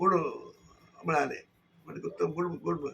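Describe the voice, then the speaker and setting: The man speaks at a high pitch with fairly even intonation. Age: 80s+. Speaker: Marathi literary activist. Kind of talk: testimonial to camera.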